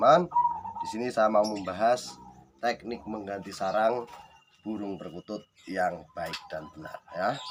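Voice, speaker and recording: Over noticeable background noise, a man talks fairly slowly in a fairly low pitch, his intonation lively and his loudness swinging widely. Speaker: bird breeder, video tutor. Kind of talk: tutorial. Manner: casual, conversational.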